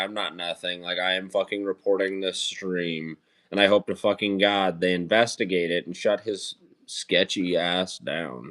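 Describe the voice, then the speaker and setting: Against a very clean recording with a silent background, a man talks at a moderate pace. His voice is very deep and low, with an American accent. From Idaho, US. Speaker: streamer. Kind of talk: casual chat. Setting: live stream.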